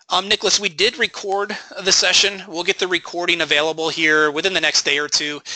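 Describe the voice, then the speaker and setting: Over noticeable background noise, the voice has a dry, close sound with no echo and fairly even intonation. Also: man, high pitch for a man, fairly quick pace. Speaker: trading educator, webinar host. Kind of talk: live webinar Q&A. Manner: fast.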